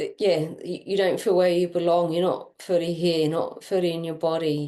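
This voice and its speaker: A woman talks at a moderate speed, fairly low in pitch, with monotone, flat intonation. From Ireland. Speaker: energy healer and coach. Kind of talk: energy reading session.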